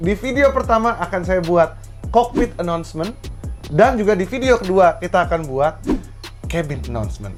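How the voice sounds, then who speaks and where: Over music in the background, a man talks at a moderate pace with a high pitch and lively intonation. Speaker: voice actor. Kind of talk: casual conversation.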